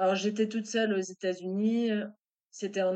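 Here is a woman with a medium pitch and fairly even intonation. Hers is an ordinary speaking voice. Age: 40s. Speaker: web marketer and author. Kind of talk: interview testimony.

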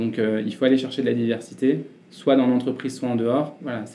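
A man speaks at a fairly quick pace in a medium pitch. His tone is dark and mellow, his intonation monotone and flat. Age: 30s. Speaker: CEO of a digital consulting agency. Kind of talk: interview.

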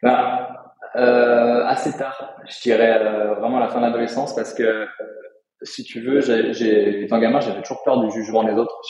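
A man talks at a medium pitch and a moderate pace. His intonation is monotone and flat, with audible room echo. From France, countryside north of Lyon. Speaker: crypto and real estate investor, coach. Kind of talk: interview.

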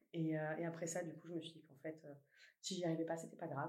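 A woman with a fairly low pitch. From southern France, Toulouse. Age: 30s. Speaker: company CEO. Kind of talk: interview. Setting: company office. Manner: hesitant, many fillers.

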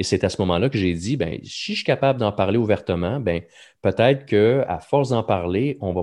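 A man's fairly low voice at a moderate pace, with ordinary pitch variation and a quiet background. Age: 40s. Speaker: podcast host, mental health speaker. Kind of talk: casual chat.

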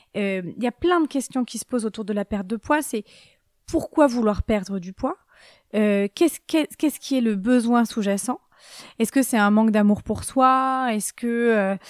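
At a moderate pace, a woman speaks fairly high in pitch with ordinary pitch variation. The sound is dry and close with no echo, on a very clean recording with a silent background. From Brittany, France. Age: 30s. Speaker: dietitian. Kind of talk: interview. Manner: gentle.

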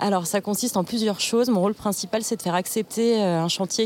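A woman talks at a moderate pace with ordinary pitch variation. She has a normal speaking voice. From Burgundy, France. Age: 30s. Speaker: communications officer, former teacher. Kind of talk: casual interview. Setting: outdoors in a park.

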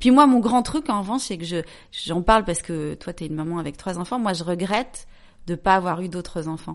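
A woman with a plain, everyday voice, medium in pitch, speaks at a fairly quick pace with lively intonation and big swings in loudness against a quiet background. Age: 40s. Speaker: journalist and entrepreneur. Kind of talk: casual chat.

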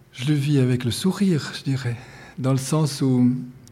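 A somewhat breathy male voice of medium pitch, dark and mellow in tone, at a fairly slow pace. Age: 60s. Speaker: painter and art teacher. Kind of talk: interview. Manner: halting.

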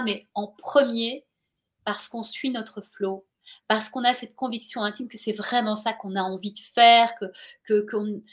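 Recorded very cleanly over a silent background, a woman speaks with a fairly high pitch. Her pace is moderate and her pitch varies in an ordinary way. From Belgium, Brussels. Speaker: journalist and author. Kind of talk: interview. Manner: animated.

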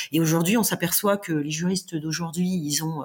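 A woman's voice, fairly low in pitch, moves along at a moderate speed. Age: 40s. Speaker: corporate legal director, former lawyer. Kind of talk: interview. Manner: halting, repeats words.

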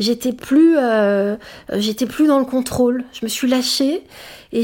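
On a very clean recording with a silent background, a woman speaks at a fairly high pitch with ordinary variation. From France, Sicilian family. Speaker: public speaker. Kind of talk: interview. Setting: studio. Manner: halting.

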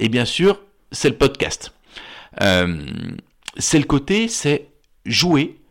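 Very wide pitch swings and vocal fry at a very slow pace, with long, frequent pauses and very even loudness. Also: man. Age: 50s. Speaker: therapist. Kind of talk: casual chat.

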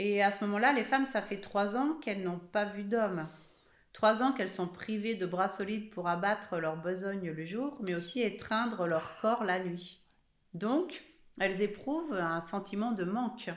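Over audible room echo, a woman speaks at a fairly slow pace with a medium pitch and ordinary pitch variation. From Haute-Savoie, France (Evian). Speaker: author. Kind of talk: interview.

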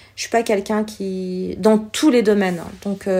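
At a very slow pace, a woman speaks in a dark, mellow tone at medium pitch with fairly even intonation. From France, born in Algeria, came as a small child. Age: 40s. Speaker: entrepreneur, former shop owner. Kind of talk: interview, personal testimony.

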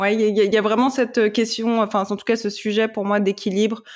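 The woman's voice sits at a medium pitch. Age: 20s. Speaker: corporate lawyer and yoga teacher. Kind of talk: personal testimony in casual interview. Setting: podcast interview. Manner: halting, many repetitions.

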